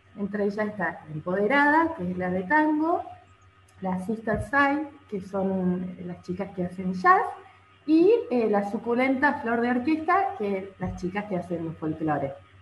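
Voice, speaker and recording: A woman's voice makes very wide pitch swings over music in the background. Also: medium pitch for a woman, fairly slow pace. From Argentina, San Luis. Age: 30s. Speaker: violinist. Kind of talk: interview.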